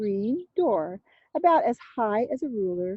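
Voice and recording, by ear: Reading aloud in a natural voice against a quiet background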